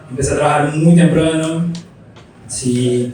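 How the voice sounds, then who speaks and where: A man talks at a very slow pace with fairly even intonation. Noticeable background noise and audible room echo fill the recording. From Brazil. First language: Portuguese (speaking Spanish). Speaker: graphic designer, studio founder. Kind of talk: interview on stage. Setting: live talk with audience.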